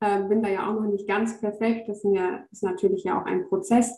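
A woman speaks at a medium pitch. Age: 30s. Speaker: educator and spirituality coach. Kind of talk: casual interview. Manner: halting, many filler sounds.

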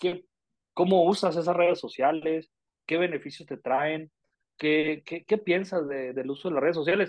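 A man with a Mexican accent speaks at a fairly slow pace, his pitch fairly high. His intonation stays fairly even, broken by long, frequent pauses. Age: 30s. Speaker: podcast co-host, business consultant. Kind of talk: casual chat.

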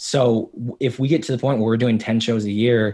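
Very clean recording, silent background, moderate pace. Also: man. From US Midwest, South Dakota roots. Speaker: TV screenwriter. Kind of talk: casual interview chat. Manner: animated, filler-heavy.

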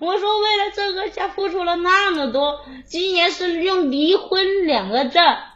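A woman with an extremely high pitch speaks at a fairly slow pace. Her pitch varies in an ordinary way, and there is noticeable background noise. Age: 20s. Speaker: caller. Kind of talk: phone-in personal story. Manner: soft-spoken. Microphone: quiet, far from the mic.

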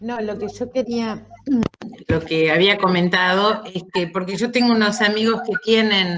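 Speaking at a very slow pace, a woman with an Argentine accent keeps a medium pitch and ordinary pitch variation. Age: 60s. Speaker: participant. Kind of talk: casual discussion. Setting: video call.

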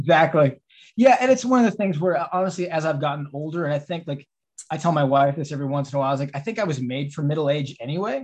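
Speaking at a very fast pace, a man with a fairly high pitch sounds somewhat breathy and uses lively intonation. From Texas. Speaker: film director and writer. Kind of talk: casual interview. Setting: video call.

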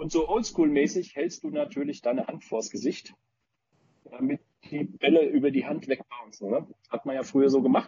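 Lively intonation at a moderate pace, in an unremarkable speaking voice. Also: man, fairly high pitch for a man. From Frankfurt region, Germany. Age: 30s. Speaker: paintball team founder. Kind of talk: casual chat.

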